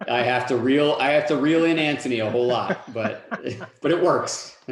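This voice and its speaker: With an American accent and fairly high pitch, a man speaks through noticeable background noise and audible room echo. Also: ordinary pitch variation, moderate pace. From US South, North Carolina. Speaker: solution architect. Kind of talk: webinar presentation.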